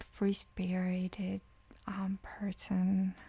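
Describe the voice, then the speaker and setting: A woman speaks at a very slow pace. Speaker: tarot reader. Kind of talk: tarot reading. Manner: soft-spoken.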